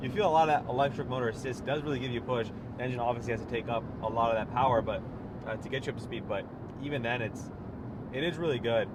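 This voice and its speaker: Amid audible room echo, a man with a medium pitch and ordinary pitch variation speaks at a very fast pace. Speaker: car reviewer. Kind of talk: test drive commentary. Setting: in a car. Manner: loud; casual, filler-heavy.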